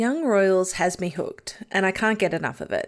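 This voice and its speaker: Moderate-paced woman with an Australian accent and medium pitch, very clean recording, silent background. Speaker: YouTube TV show reviewer. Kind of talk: video analysis commentary.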